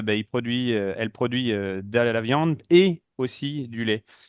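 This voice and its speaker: A man is speaking at medium pitch. His pitch variation is ordinary. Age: 30s. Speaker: dairy farmer. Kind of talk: panel discussion. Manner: halting, many fillers.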